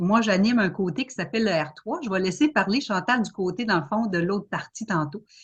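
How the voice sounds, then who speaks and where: A woman's somewhat breathy voice. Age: 50s. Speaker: home business seller. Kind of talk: self-presentation in online panel.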